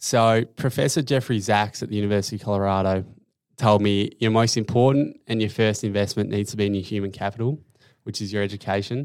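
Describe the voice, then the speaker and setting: A man with an Australian accent speaks at a very fast pace and a fairly low pitch. His intonation stays fairly even, and the recording is very clean with a silent background. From Tasmania, Australia (Hobart). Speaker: finance operations analyst, former footballer. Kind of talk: interview.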